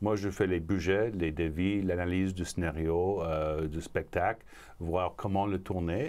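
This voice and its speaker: In an English accent, a man speaks fairly slowly with a very deep, low pitch and fairly even intonation. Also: very clean recording, silent background. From Montreal, Quebec. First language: English (speaking French). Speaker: film producer. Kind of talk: interview. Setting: studio.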